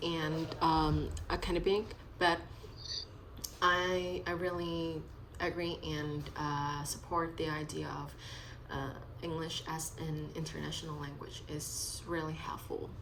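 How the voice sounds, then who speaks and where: Speaking very slowly in a fairly low pitch, a woman with a Vietnamese accent keeps her intonation fairly even over noticeable background noise and audible room echo. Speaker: English student. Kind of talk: speaking practice conversation. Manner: halting, many fillers.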